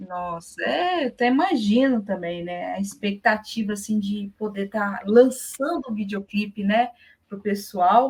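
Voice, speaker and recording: This woman's voice is somewhat breathy, with ordinary pitch variation. She speaks at a fairly slow pace with big swings in loudness. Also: medium pitch for a woman. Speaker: interviewer. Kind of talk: interview questions.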